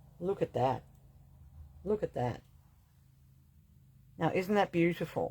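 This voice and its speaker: A woman with a fairly low pitch, a dark, mellow tone and vocal fry speaks at a fairly slow pace with lively intonation and long, frequent pauses. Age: 60s. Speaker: shop owner selling witchcraft supplies. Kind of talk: sales pitch. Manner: animated.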